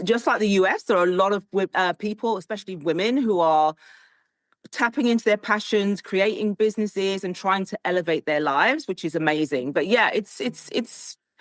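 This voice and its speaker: Speaking with a British accent, a woman keeps a moderate pace. Her pitch is medium with ordinary variation. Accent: British, very proper. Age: middle-aged. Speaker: style coach, tech executive. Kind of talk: interview conversation.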